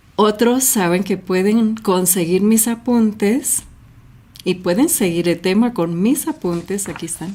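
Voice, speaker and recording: A woman speaks at medium pitch and a fairly slow pace. Her tone is dark and mellow, and somewhat breathy. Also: ordinary pitch variation. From US, Los Angeles, with childhood in Mexico and Colombia. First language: English (speaking Spanish). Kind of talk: Bible reflection talk.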